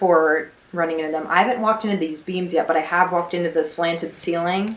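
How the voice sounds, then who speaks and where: A woman with an American accent, fairly low-pitched, at a fairly quick pace with fairly even intonation, over noticeable background noise. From United States. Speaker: vlogger, exchange student. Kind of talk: casual vlog. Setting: in her bedroom.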